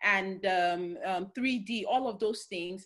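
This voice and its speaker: A woman with a Nigerian accent speaks in a bright, sharp tone with lively intonation. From Nigeria, Delta State. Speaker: career and future-of-work speaker. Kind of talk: talk in an online webinar. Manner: halting, with many fillers.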